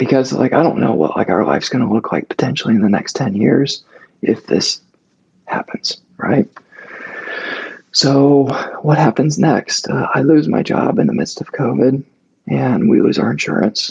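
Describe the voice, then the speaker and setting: Breathy and strained, the voice moves at a moderate pace with long, frequent pauses. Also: man. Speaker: podcast guest sharing health story. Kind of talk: casual chat. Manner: halting.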